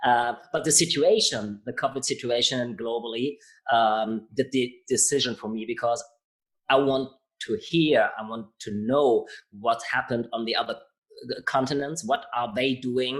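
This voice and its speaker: A man speaks with a German accent at a fairly slow pace. His pitch varies in an ordinary way. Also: medium pitch for a man, very clean recording, silent background. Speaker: podcast host. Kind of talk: interview. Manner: halting.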